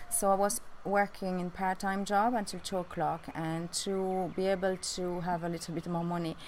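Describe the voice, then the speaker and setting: Spoken in a French accent at a moderate pace. The intonation is monotone and flat, with hardly any pauses. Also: woman, medium pitch for a woman. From France. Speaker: beautician and vlogger. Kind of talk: personal life story vlog. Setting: outdoors on a rooftop. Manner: halting with many fillers.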